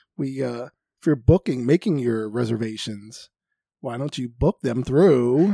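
A man's medium-pitched voice with a dark, mellow tone, ordinary pitch variation and a moderate pace, dry and close with no echo, on a very clean recording with a silent background. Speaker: podcast host and travel agent. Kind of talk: casual chat podcast banter.

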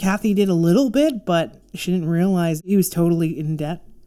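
A woman speaks at a moderate pace with a dark, mellow tone, medium pitch and ordinary pitch variation. The recording is very clean, with a silent background. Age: 40s. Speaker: podcast co-host and psychic medium. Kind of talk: casual chat.

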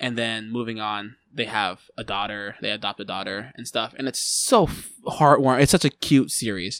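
In a very clean recording with a silent background, a man with an unremarkable speaking voice talks at a moderate pace with hardly any pauses, his medium pitch showing ordinary variation and his loudness swinging widely. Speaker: musician. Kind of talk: casual chat. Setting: studio.

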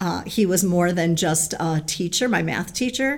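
Over noticeable background noise, a woman speaks with lively intonation and a fairly low pitch. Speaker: middle school teacher. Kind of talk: interview.

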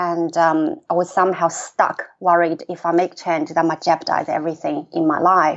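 A woman speaks at a moderate pace with a Chinese accent. Her fairly low voice stays monotone and flat. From China. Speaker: executive coach and author. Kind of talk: interview. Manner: frequent fillers and hesitations.

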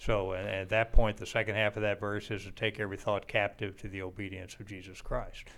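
Monotone, flat intonation at a very fast pace, with hardly any pauses. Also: man, fairly low pitch for a man, big swings in loudness. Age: 60s. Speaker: podcast host. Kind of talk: casual chat.

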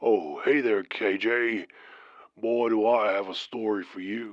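Over a quiet background, a man does a put-on character voice at a fairly slow pace. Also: medium pitch for a man.

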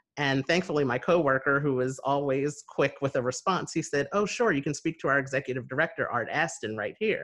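Using a normal speaking voice, a man with an American accent talks at a fairly quick pace with hardly any pauses. His pitch is fairly high, with ordinary variation. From US Northeast, New Jersey near Philadelphia. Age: 30s. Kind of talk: casual interview conversation. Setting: video call.

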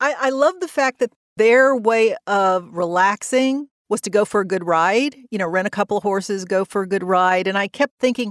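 On a very clean recording with a silent background, a plain, everyday voice moves at a moderate tempo, its pitch varying in an ordinary way. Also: woman. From US South. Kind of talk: interview.

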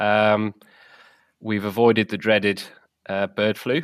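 This man talks with a southern English accent in a flat monotone, his pitch fairly low. The recording is very clean with a silent background, and the sound is dry and close with no echo. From southern England. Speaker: game bird rearing and shoot manager. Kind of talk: casual interview. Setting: podcast recording.

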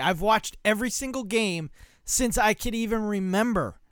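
A man speaks at a fairly slow pace in a raised, projected voice with an animated tone and ordinary pitch variation. The recording is very clean, with a silent background. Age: 30s. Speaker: sports podcast host. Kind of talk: solo sports talk monologue. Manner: casual with many fillers.

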